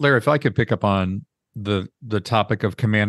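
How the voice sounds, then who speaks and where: With a normal speaking voice, a man talks at a fairly quick pace and fairly low pitch, the sound dry and close with no echo over a quiet background. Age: 60s. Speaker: podcast host. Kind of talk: interview.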